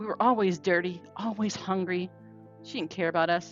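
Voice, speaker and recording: Music plays in the background as a woman talks at a fairly quick pace. She has a Southern US accent. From North Carolina, USA. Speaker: podcaster, trauma survivor. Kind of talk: personal storytelling.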